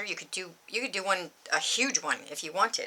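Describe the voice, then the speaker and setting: A woman talks with noticeable noise in the background. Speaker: embroidery tutorial youtuber. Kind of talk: tutorial. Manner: rambling, filler-heavy.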